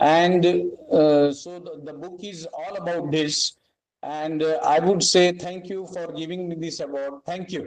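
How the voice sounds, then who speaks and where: Speaking fairly slowly with a Marathi accent, a man with a high pitch keeps a fairly even intonation amid big swings in loudness. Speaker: author, award recipient. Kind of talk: acceptance speech. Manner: hesitant, many fillers.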